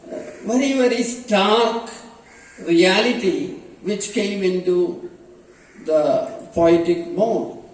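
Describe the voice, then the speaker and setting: Very slow, lively-intoned speech from a man, with noticeable background noise and audible room echo. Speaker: professor. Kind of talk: lecture. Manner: halting, many fillers.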